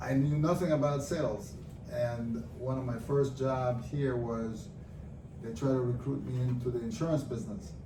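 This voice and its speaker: Over noticeable background noise and audible room echo, a man with a medium pitch speaks at a moderate pace with ordinary pitch variation. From Nicaragua. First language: Spanish. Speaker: businessman. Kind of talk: interview podcast. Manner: many fillers and hesitations.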